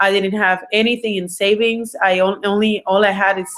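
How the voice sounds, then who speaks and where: A woman speaks with a Puerto Rican accent at a moderate pace. Her pitch is medium. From Puerto Rico. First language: Spanish. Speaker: entrepreneur and business coach. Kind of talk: online webinar presentation. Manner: halting, many fillers.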